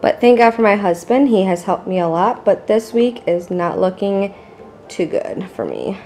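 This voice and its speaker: With music in the background, a woman talks at a moderate pace, her medium-pitched voice showing ordinary pitch variation. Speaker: vlogger. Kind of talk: casual vlog narration. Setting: at home.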